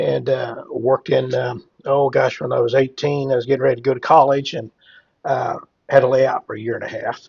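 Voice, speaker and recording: With a Midwestern US accent, a man talks at a fairly quick pace. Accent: rural Midwestern American. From Cass County, Missouri area (US Midwest). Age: 60s. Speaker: hemp entrepreneur and farmer. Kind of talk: casual interview chat. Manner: halting, many fillers.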